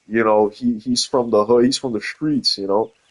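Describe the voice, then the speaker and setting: In an American accent, a man speaks at a fairly slow pace. His medium-pitched voice keeps fairly even intonation. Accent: Brooklyn accent, comes and goes. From New York, Brooklyn (Coney Island). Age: 20s. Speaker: gaming streamer. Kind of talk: casual chat. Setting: live stream.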